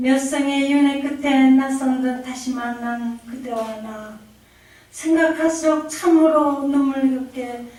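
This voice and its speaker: A woman's high voice at a moderate pace with fairly even intonation, in audible room echo. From Korea. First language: Korean. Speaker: poet. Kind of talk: poetry reading.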